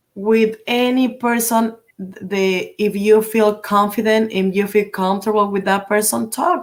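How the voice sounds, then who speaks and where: With a Spanish accent, a woman talks at a fairly slow pace. Her pitch variation is ordinary. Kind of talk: interview on live stream. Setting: live stream. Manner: halting, many fillers in English.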